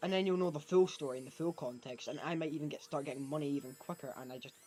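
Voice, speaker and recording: A man with a Scottish accent talks at a very fast pace and a fairly high pitch. Background noise is noticeable. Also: ordinary pitch variation. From Scotland. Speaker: gaming streamer. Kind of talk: live gameplay stream chat. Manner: casual, rambling with false starts.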